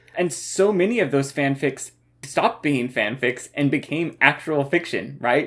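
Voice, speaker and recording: Delivered at a fairly slow pace, this is a normal speaking voice with very even loudness and ordinary pitch variation. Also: man, fairly high pitch for a man. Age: 30s. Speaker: podcast co-host. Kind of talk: casual chat.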